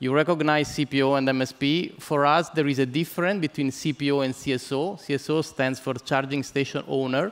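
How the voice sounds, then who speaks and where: A man with an Italian accent talks at a moderate pace and a fairly high pitch, his intonation fairly even, on a very clean recording with a silent background. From Italy. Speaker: business development executive, keynote speaker. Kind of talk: conference keynote. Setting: conference stage with audience. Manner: halting, many fillers and repetitions.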